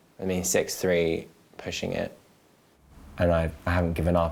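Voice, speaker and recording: A man with a London accent speaks at a moderate pace in a very deep, low voice, his intonation flat and monotone. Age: 20s. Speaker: model. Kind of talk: documentary interview. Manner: casual, hesitant with fillers.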